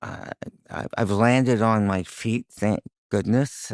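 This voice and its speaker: Recorded very cleanly against a silent background, a man speaks at a fairly slow pace, his medium pitch showing ordinary variation, in dry, close sound with no echo. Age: 60s. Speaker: cancer survivor. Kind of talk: interview. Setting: studio. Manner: casual, halting.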